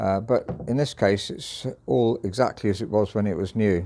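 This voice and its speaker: Here a man speaks at a fairly low pitch. His tone is dark and mellow. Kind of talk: product walkthrough commentary. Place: shop. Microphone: phone near.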